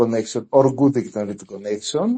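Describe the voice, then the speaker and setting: A man with a Greek accent speaks with lively intonation. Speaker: community member of a crypto group. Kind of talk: interview questions in live audio space. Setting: online audio space. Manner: halting, many fillers.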